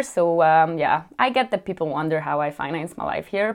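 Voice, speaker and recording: A woman with a strong European accent speaks in a bright, sharp tone at a fairly low pitch, her pitch moving in an ordinary way, on a very clean recording with a silent background. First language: a European language, not English. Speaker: vlogger. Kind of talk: casual Q&A chat. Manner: chatty, lots of fillers.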